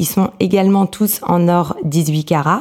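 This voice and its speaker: This woman's pitch sits fairly low. Her tone is dark and mellow. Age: 30s. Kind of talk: interview. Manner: hesitant, many fillers.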